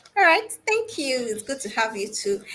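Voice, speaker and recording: Noticeable background noise behind a woman speaking at a moderate pace. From Nigeria. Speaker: guest host. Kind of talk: live panel interview.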